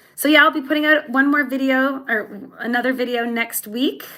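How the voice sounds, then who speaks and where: Her voice, a woman's, has a bright, sharp tone. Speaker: YouTuber, hiker and teacher. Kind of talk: livestream chat with viewers. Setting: livestream at home. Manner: halting, many repetitions.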